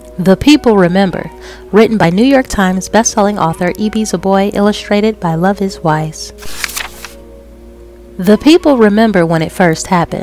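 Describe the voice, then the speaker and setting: A woman's medium-pitched voice over background music, at a moderate pace with long, frequent pauses and ordinary pitch variation. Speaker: storyteller. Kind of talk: children's picture book read-aloud.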